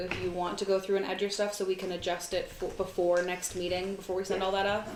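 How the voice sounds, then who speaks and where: A woman's fairly quick, flat monotone at medium pitch, with hardly any pauses, noticeable background noise and audible room echo. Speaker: commission chair. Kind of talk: committee meeting. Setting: meeting room, streamed live.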